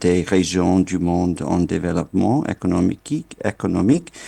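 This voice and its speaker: With a non-native accent, a man speaks in a dark, mellow tone. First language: not French (speaking French). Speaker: internet governance official. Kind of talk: keynote speech. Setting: remote video link to conference. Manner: halting, many fillers.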